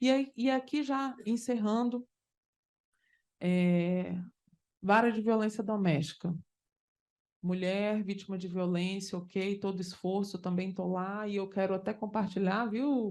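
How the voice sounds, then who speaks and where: A woman's medium-pitched voice with ordinary pitch variation, fairly slow, broken by long, frequent pauses. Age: 40s. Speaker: judge. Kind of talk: conference talk. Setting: conference panel with audience. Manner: animated.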